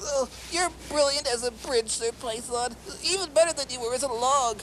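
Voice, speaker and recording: A high-pitched cartoonish character voice amid clear background noise. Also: moderate pace. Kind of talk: children's puppet show. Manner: whiny, fawning.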